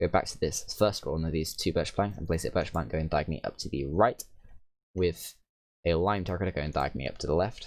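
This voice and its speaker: Speaking at a very fast pace, a man has a very deep, low pitch and ordinary pitch variation. The recording is very clean, with a silent background. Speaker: gaming youtuber. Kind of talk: tutorial.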